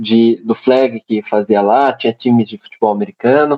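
A man talks in an ordinary speaking voice. His pace is moderate and his pitch variation ordinary. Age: 20s. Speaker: civil engineer and American football referee. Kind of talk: casual podcast interview.

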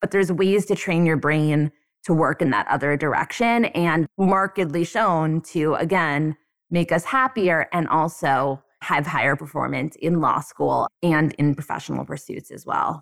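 A woman's very deep, low voice at a moderate pace with ordinary pitch variation. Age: 30s. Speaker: law school dean and professor. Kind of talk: interview.

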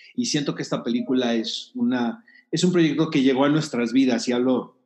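With an ordinary speaking voice, a man speaks at a moderate pace and medium pitch, using ordinary pitch variation. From Mexico, Tijuana. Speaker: film critic and producer. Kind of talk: interview.

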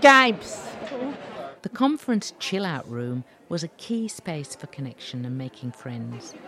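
Against crowd noise in the background, a woman with a fairly low pitch talks at a fairly slow pace, with very wide pitch swings and big swings in loudness. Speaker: podcast host. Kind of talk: scripted narration.

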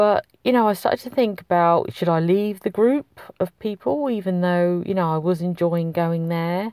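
A woman speaks with a British accent, her voice fairly low and dark, mellow in tone. Her pitch moves in an ordinary way, and the sound is dry and close with no echo. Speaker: podcast host, wellbeing coach. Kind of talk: solo podcast monologue.

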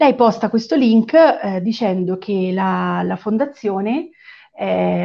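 A woman's voice at a medium pitch. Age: 40s. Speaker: web designer. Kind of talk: interview. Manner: halting.

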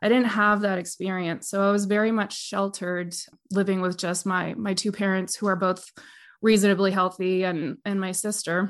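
A woman talks at a moderate pace with a Canadian accent and a medium pitch. Her intonation stays flat and monotone against a quiet background. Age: 30s. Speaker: massage therapist and death doula. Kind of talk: interview conversation.

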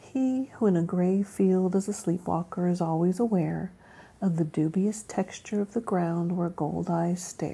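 A woman speaks in a relaxed, warm, dark and mellow tone at a medium pitch, somewhat breathy. Her pace is fairly slow, with very even loudness and ordinary pitch variation. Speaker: podcast host reading poetry. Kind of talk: poem reading, casual and conversational, with chatty asides between poems. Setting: home recording with child nearby. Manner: relaxed, conversational, warm; pauses to restart after stumbles, self-correcting.

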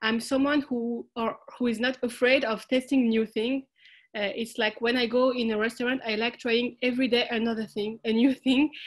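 Against a quiet background, a woman with a French accent talks at a fairly quick pace in a high pitch, her intonation monotone and flat. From France, Algerian family. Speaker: social food entrepreneur. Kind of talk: interview. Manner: halting.

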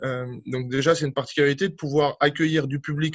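This somewhat breathy voice moves at a moderate pace with fairly even intonation. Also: man. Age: 40s. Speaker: aquatic centre director. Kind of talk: interview. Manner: hesitant, many fillers.

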